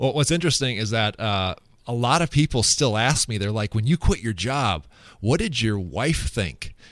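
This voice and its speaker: In a very clean recording with a silent background, a man with an American accent speaks in a plain, everyday voice at medium pitch with lively intonation. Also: moderate pace. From US Midwest, west central Minnesota. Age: 30s. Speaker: former TV weatherman turned financial planner. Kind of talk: interview conversation.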